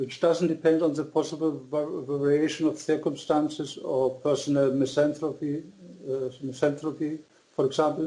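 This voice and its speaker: At a moderate pace, a man speaks in a monotone, flat way at a fairly high pitch with a dark, mellow tone. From Germany (born in Austria). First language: German. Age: 60s. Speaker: author. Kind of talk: interview. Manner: halting.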